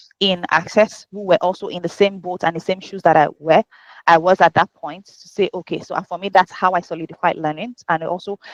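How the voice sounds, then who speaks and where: With a Nigerian accent, a woman speaks fairly quickly in a fairly low, monotone voice with flat intonation and big swings in loudness, the sound dry and close with no echo. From Nigeria (Yoruba). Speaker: HR professional and life coach. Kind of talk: podcast interview.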